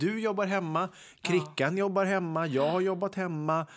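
A man's high voice at a moderate pace. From Västergötland, Sweden (Ulricehamn area). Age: 30s. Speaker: podcast co-host. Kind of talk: casual chat.

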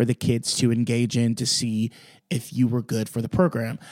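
A man speaks at a medium pitch and a moderate pace in a dark, mellow tone, on a very clean recording with a silent background and a dry, close sound with no echo. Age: 20s. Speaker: musical theatre actor. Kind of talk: casual chat. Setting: dressing room.

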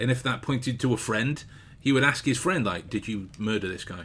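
A man with an English accent, at a fairly quick pace with ordinary pitch variation. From England. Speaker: podcast co-host, author. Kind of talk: casual chat. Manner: animated.

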